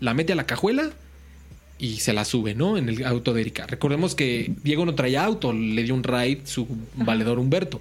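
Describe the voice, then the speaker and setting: In a normal speaking voice, a man talks at a moderate pace and medium pitch with lively intonation. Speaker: podcast host. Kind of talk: true-crime storytelling. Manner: casual, slangy.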